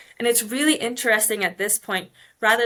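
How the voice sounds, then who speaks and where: Talking at a very fast pace, a woman with an American accent has a bright, sharp tone and fairly even intonation. The recording is very clean, with a silent background. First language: Polish. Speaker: mining engineer. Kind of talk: podcast interview. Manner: conversational, many fillers.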